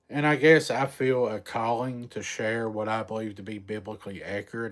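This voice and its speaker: In a very clean recording with a silent background, a man with a strong Southern US accent speaks with ordinary pitch variation. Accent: thick country Southern drawl. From Eastern Kentucky mountains. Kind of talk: casual live-stream chat. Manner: slow.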